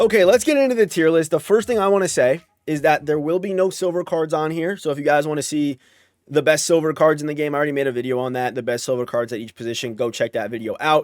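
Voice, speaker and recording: A man with an American accent talks at a very fast pace, his fairly high voice full of lively intonation. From United States. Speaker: gaming YouTuber. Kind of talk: video game tier list commentary. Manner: casual, filler-heavy with frequent restarts.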